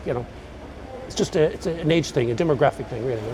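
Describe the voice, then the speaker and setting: A man speaks with an Irish accent over noticeable background noise. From Galway, Ireland. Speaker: retired electrician. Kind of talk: interview answer.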